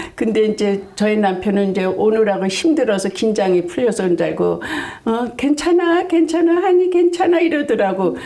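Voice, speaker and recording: Noticeable background noise sits under a woman whose loudness stays very even while her pitch swings very widely. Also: moderate pace. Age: 70s. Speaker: senior beauty pageant winner. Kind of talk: interview answer.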